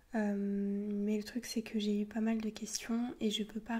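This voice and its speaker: Noticeable background noise accompanies a woman at a fairly high pitch. Her intonation is monotone and flat. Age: 20s. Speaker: ASMR youtuber and university student. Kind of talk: casual Q&A talk to camera. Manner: soft-spoken; halting, many fillers.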